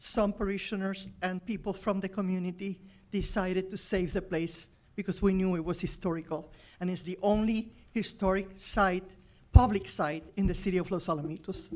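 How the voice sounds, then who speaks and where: Talking at a fairly quick pace, a woman uses a medium pitch with monotone, flat intonation. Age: 80s+. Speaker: church volunteer. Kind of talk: public comment. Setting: council meeting.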